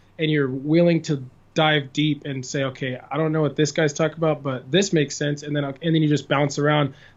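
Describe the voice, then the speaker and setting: Here a man speaks in an American accent with a fairly high voice. His pace is fairly quick and his intonation monotone and flat. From California. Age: 20s. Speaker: musician. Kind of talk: podcast interview answer.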